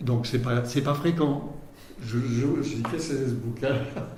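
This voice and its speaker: Amid noticeable background noise and audible room echo, a man speaks at a medium pitch and a fairly slow pace with fairly even intonation. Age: 70s. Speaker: water researcher, former urban planner. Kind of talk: interview. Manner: halting, many hesitations.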